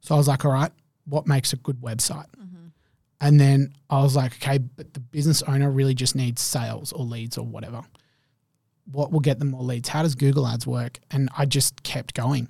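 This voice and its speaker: A man's somewhat breathy voice with an Australian accent, flat monotone intonation and a dark, mellow tone. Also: medium pitch for a man, fairly quick pace. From Perth, Western Australia. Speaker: marketer. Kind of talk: casual chat.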